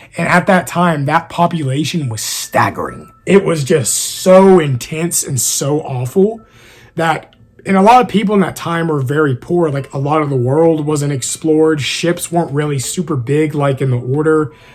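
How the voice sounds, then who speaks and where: A man talks at a moderate pace with a fairly high pitch. Noticeable background noise runs underneath. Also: ordinary pitch variation. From East Texas. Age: 20s. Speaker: YouTuber and author. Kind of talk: casual Q&A.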